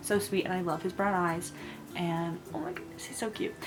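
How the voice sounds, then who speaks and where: Quietly and at a moderate pace, a woman speaks at a medium pitch with ordinary variation, over music in the background and audible room echo. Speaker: book vlogger. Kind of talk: casual vlog monologue. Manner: gushing, animated.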